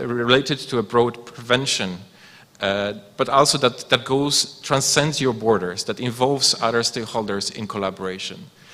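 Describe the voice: A man with a medium pitch and a bright, sharp tone speaks with ordinary pitch variation.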